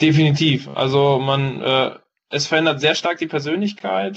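A man with a fairly high pitch, fairly even intonation and a moderate pace. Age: 20s. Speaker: paramedic trainee and entrepreneur. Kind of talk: interview. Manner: hesitant, many fillers.

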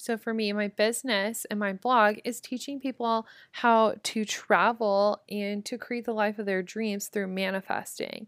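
A woman with a Midwestern accent speaks at a fairly slow pace in a fairly high, animated tone with hardly any pauses. The sound is dry and close with no echo, on a very clean recording with a silent background. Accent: general American, Midwest. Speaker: podcast host. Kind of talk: casual motivational monologue. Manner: animated, casual.

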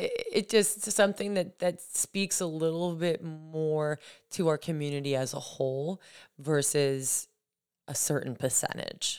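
A woman with a very deep, low pitch talks at a moderate pace with ordinary pitch variation. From New Hampshire, Lakes region. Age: 30s. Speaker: yoga teacher and roller skate instructor. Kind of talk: casual chat.

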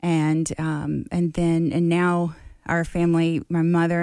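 On a very clean recording with a silent background, a woman speaks in a Mississippi accent. Her fairly low voice has a dark, mellow tone and monotone, flat intonation. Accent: US Southern (Mississippi). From Mississippi Gulf Coast. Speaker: harm reduction advocate. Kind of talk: casual interview.

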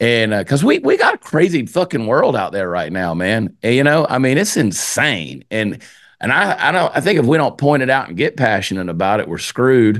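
A man with a Southern US accent and medium pitch talks at a fairly quick pace with hardly any pauses and vocal fry. His pitch swings very widely, and the background is quiet. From US South (Georgia). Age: 50s. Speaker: comedian, podcaster and singer. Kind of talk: casual chat. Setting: home studio. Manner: fast.

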